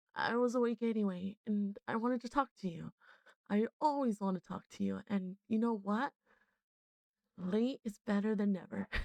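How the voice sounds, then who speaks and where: At a moderate pace, a woman speaks in a relaxed, tired tone with a fairly high pitch. The sound is dry and close, with no echo. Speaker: ASMR streamer / VTuber. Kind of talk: ASMR roleplay phone call, soft spoken, intimate talk to a partner. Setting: 3D binaural microphone ASMR recording. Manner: soft-spoken, relaxed, tired, affectionate.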